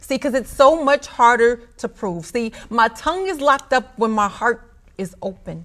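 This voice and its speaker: A woman with an ordinary speaking voice talks at a moderate pace, her fairly high pitch carried by lively intonation. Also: very clean recording, silent background. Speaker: spoken word poet. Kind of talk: spoken word poetry performance.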